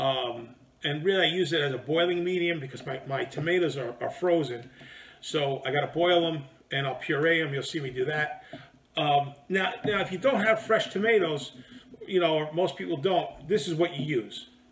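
A man at a moderate pace, ordinary pitch variation, light background noise. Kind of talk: cooking tutorial. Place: home room.

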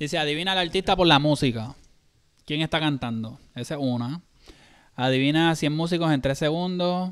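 Here a man speaks in a Puerto Rican accent at a fairly high pitch. His pace is moderate and his pitch varies in an ordinary way. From Puerto Rico, San Juan. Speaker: reaction channel co-host. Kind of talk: casual live-stream chat. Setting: live stream.

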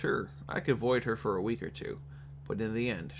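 An unforced reading voice carries the clip.

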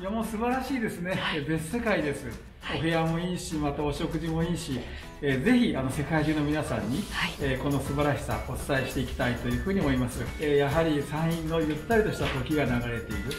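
Over clear background music, a man talks at a very fast pace. His intonation is lively. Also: fairly high pitch for a man. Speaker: prefectural governor. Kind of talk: interview answer. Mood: pleased, polite praise. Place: hall.

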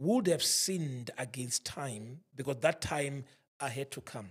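A man does a put-on character voice, raspy and at medium pitch. He speaks at a fairly slow pace. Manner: very slow, deliberate.

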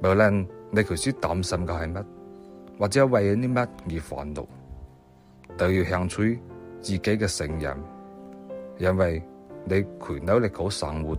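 Music plays in the background as a man speaks with a Siyi accent. His pitch is very deep and low, and his intonation lively. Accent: Siyi Cantonese. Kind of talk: inspirational quote reading.

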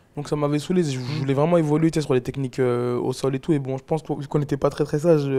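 Talking at a very fast pace with hardly any pauses, a man keeps a fairly high pitch in a monotone, flat intonation. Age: 20s. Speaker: MMA fighter and podcaster; podcaster. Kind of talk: casual chat. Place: home room. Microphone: lapel.

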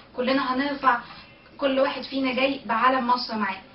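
A woman with an Egyptian accent speaks at a fairly quick pace and a high pitch, with audible room echo and light background noise. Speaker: political activist. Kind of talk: vlog to camera. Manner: tense but determined, hopeful. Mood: tense but determined, hopeful. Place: home room. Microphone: webcam.

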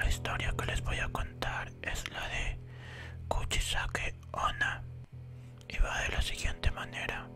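A whisper moves at a very slow pace over clear music in the background. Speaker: ASMR storyteller. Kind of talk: horror story narration for an ASMR collaboration. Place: home room. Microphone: studio mic.

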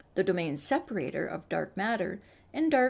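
A woman's voice with vocal fry, very wide pitch swings and a moderate pace. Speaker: science video creator. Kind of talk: explainer narration.

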